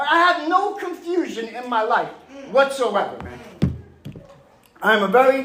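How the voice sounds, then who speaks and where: A man with a Long Island accent, passionate in tone, his pitch swinging very widely, with noticeable background noise and audible room echo. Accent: Long Island New York. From New York, Long Island (Mastic). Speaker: recovering addict, 12-step speaker. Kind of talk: recovery testimony. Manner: loud, passionate; fast.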